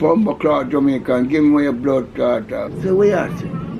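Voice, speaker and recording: Lively intonation marks a man's speech, with noticeable background noise behind it. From Jamaica, Kingston. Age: 80s+. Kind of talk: interview answer.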